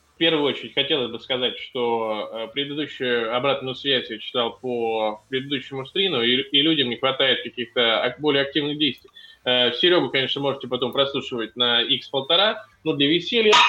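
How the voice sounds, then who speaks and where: Using a plain, everyday voice, a man speaks at a fairly high pitch and a moderate pace with ordinary pitch variation. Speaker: basketball blogger, podcast guest. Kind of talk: casual chat.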